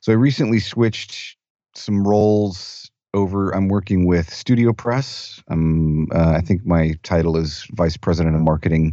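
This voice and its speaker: With a very deep, low pitch and very even loudness, a man talks at a moderate pace with ordinary pitch variation. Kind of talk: casual chat.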